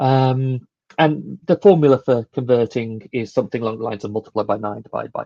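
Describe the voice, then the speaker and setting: A man with a British accent speaks at a fairly quick pace in a medium pitch, his tone dark and mellow, with a dry, close sound and no echo. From UK. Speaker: conference speaker. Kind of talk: technical conference talk. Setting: live online stream. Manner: hesitant, with many fillers.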